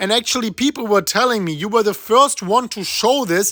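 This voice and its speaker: In a German accent, the speaker talks at a fairly quick pace with an animated tone. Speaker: crypto YouTuber. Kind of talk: market analysis video commentary.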